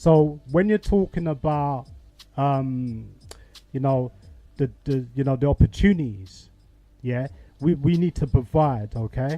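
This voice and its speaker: Long, frequent pauses from a man at fairly high pitch, with music in the background. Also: ordinary pitch variation, fairly slow pace. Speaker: talk show host. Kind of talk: call-in discussion. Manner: loud.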